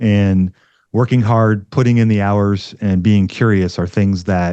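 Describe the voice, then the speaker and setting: Against a quiet background, a man speaks fairly slowly at a fairly low pitch. His tone is dark and mellow, his intonation flat and monotone. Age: 50s. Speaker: investing podcast host and educator. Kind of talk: interview conversation.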